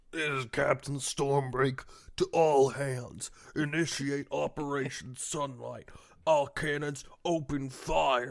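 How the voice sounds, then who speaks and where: A put-on character voice sits at a low-to-middle pitch. The delivery moves at a fairly slow pace. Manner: commanding, authoritative.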